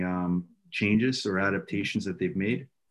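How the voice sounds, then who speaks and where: In a Canadian accent, a man with an ordinary speaking voice talks at a moderate pace, his pitch fairly low and his intonation fairly even, on a very clean recording with a silent background. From Ontario, Canada. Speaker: youth soccer director and coach. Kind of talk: casual interview.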